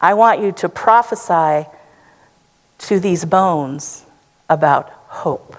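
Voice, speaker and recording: Pausing long and often, a woman speaks at a very slow pace with a fairly low pitch and lively intonation. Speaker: preacher, church sermon speaker. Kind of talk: sermon delivered to a congregation.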